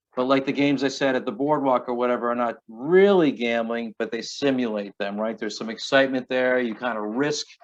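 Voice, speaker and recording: A man's voice sits at a medium pitch and varies in pitch in an ordinary way. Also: fairly quick pace. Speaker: prevention educator. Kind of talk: online class presentation. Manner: fast.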